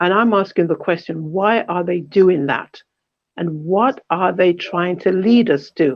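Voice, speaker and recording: Her pitch fairly low, a woman speaks with pitch that varies in an ordinary way. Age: 60s. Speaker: panel speaker at a community event. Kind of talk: online panel talk. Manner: impassioned, rhetorical questioning.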